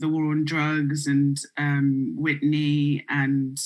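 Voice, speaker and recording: On a very clean recording with a silent background, a woman with a British accent speaks in a very deep, low pitch with monotone, flat intonation. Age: 20s. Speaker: music publicist. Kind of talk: panel interview.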